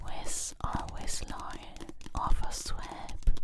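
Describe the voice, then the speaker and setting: A woman whispers in a calm tone at a very slow pace. Noticeable background noise sits behind her. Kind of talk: whispered ASMR manga recap and review. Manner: whispered, soft-spoken; calm, cozy, relaxing.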